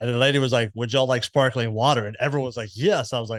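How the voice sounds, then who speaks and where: A man is speaking. The recording is very clean with a silent background, and the sound is dry and close with no echo. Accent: Southern US. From US South, Memphis, Tennessee. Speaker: podcast host. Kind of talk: casual interview chat.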